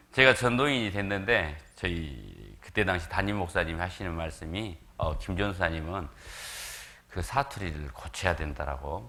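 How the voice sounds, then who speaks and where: A man with a very deep, low pitch and vocal fry speaks at a fairly slow pace in a bright, sharp tone. His intonation is lively, and audible room echo surrounds him. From South Korea, Jeolla region (Gwangju). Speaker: visiting evangelist preacher. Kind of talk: sermon.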